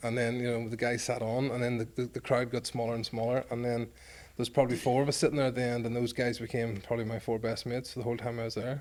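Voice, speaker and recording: Speaking at a very fast pace, this man has a medium-pitched voice. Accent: Northern Irish. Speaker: former rugby player. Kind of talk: podcast interview, storytelling. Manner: animated.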